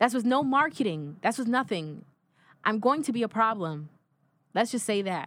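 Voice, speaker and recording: In a very clean recording with a silent background, a woman with a fairly high voice speaks at a moderate pace, her pitch swinging very widely between long, frequent pauses. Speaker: singer. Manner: animated.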